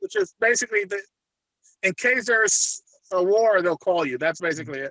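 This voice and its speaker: Here a man talks in a high voice. His intonation is lively and his pace fairly quick. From Puerto Rico. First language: Spanish. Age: 50s. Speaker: retired federal agent turned private investigator. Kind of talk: interview. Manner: halting.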